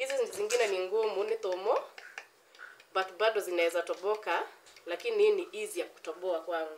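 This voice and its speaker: The delivery keeps a moderate pace. Light background noise can be heard. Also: woman. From Kenya. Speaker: cooking vlogger. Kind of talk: tutorial. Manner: animated. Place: home room. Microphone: phone near.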